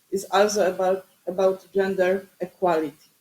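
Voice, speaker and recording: At a moderate pace, this speaker talks with a non-native accent. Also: woman. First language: Polish. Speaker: academic researcher and city councillor. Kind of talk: conference presentation. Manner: halting.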